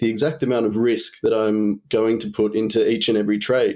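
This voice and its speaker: Against a quiet background, a man with an Australian accent speaks at medium pitch in a dark, mellow tone. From Tasmania, Australia. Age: 30s. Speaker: trading apprentice. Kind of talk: casual interview.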